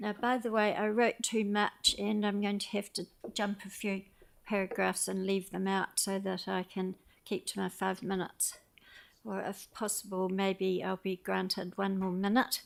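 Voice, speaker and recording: At a moderate pace, a woman with a New Zealand accent speaks at a medium pitch with monotone, flat intonation. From New Zealand, Christchurch. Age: 80s+. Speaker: public submitter at council meeting. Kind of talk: public submission, partly read aloud. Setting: community board meeting.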